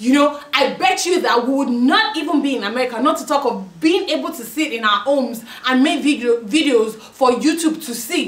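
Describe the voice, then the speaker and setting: Speaking at a moderate pace with hardly any pauses, a woman with a strong Nigerian accent and a high pitch uses lively intonation amid noticeable background noise and audible room echo. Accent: thick Nigerian Yoruba. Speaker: YouTuber. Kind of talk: opinion commentary to camera. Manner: impassioned.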